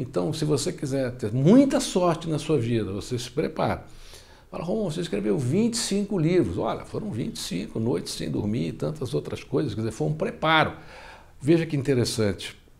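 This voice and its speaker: This man's fairly high voice, marked by vocal fry, swings very widely in pitch at a moderate pace. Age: 60s. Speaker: self-help author. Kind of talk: interview.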